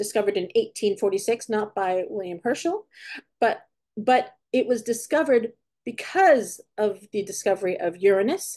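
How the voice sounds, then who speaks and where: A woman speaks with an American accent at a moderate pace, her pitch fairly high. Her tone is dark and mellow, and her intonation is lively. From California, US. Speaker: astronomy educator. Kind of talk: online lecture for schools. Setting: online talk. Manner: halting, with self-corrections.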